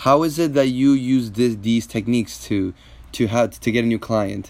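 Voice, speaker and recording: Speaking in a normal speaking voice, a man keeps a medium pitch and a moderate pace, his pitch varying in an ordinary way. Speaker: podcast host and mentalist. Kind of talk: interview.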